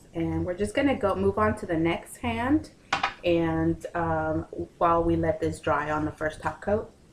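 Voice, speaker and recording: A woman talks very slowly over noticeable background noise. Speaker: nail tutorial vlogger. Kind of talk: tutorial. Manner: casual with many fillers.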